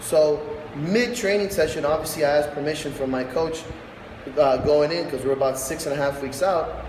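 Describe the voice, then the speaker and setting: With audible room echo and noticeable background noise, a man talks at a fairly high pitch. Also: ordinary pitch variation, moderate pace. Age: 30s. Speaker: strongman athlete and gym owner. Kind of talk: casual vlog monologue. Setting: warehouse gym. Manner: loud.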